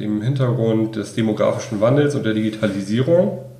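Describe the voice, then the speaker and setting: Noticeable background noise and audible room echo behind a man speaking. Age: 20s. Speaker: master's student. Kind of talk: interview.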